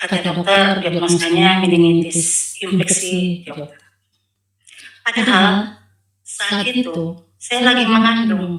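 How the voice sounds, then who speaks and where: A woman with a Sumatran accent, very slow in pace, with big swings in loudness. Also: medium pitch for a woman, ordinary pitch variation. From North Sumatra, Asahan Regency. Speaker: convert giving testimony. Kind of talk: testimony. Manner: halting.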